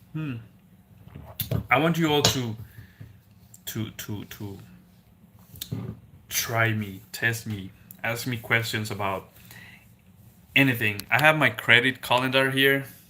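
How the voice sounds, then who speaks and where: A man with a Spanish accent speaks at a very slow pace in a bright, sharp tone, with long, frequent pauses. His medium pitch shows ordinary variation, and his loudness swings widely. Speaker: car salesman and gig driver, finance YouTuber. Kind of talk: casual live stream chat. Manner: hesitant, many fillers.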